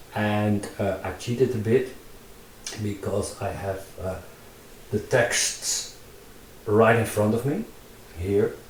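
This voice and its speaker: A man with a Dutch accent speaks very slowly at a fairly low pitch, with fairly even intonation and long, frequent pauses. Noticeable background noise and audible room echo fill the recording. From Netherlands. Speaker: digital artist and tutorial maker. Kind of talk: casual vlog narration while drawing in VR. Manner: halting, many fillers and repetitions.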